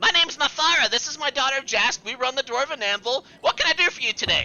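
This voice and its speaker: A put-on character voice races along at a very fast pace in a high pitch. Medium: actual play. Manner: confused, repetitive, cheerful.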